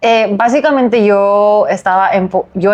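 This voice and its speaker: Her voice sits at a medium pitch, and the woman's pitch moves in an ordinary way. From South Korea. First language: Korean (speaking Spanish). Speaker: lawyer. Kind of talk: interview. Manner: halting.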